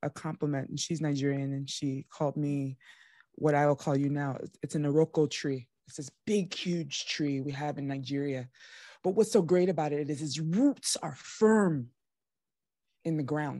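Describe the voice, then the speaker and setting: A woman's very deep, low voice with an animated tone, moderate pace and ordinary pitch variation, dry with no echo against a quiet background. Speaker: podcast host. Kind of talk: podcast interview. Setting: video call. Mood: warm, emotional, admiring. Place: home room. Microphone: studio mic.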